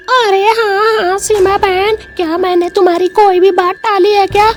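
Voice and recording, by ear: A woman puts on a cartoonish character voice at an extremely high pitch, speaking at a moderate pace with fairly even intonation over clear background noise.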